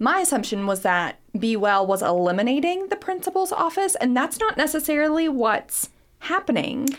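A woman with an American accent, high pitch and very wide pitch swings, very even loudness, on a very clean recording with a silent background. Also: moderate pace. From Harlan County, Kentucky. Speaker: radio host. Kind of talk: casual radio interview. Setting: studio.

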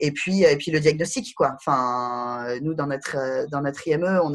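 Her voice sits very deep and low. The woman's pitch rises and falls in an ordinary way. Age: 30s. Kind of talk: interview. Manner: halting, many fillers.

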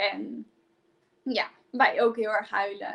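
A woman's ordinary speaking voice, with a fairly high pitch and ordinary pitch variation. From Friesland, Netherlands. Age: 20s. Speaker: positive psychologist and coach. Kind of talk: personal testimony in a live stream. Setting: live video stream.

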